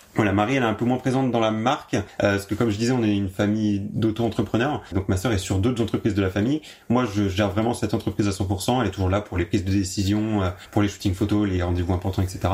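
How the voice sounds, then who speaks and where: A man's fairly low, somewhat breathy voice at a very fast pace with very even loudness. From Champagne region, France (Marne). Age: 20s. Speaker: artisan candle maker. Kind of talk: interview. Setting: workshop.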